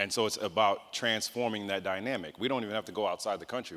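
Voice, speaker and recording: A man's fairly low voice with a bright, sharp tone, very fast, in an American accent. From New York City, the Bronx. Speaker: mayoral candidate. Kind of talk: candidate forum answers. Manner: direct, animated.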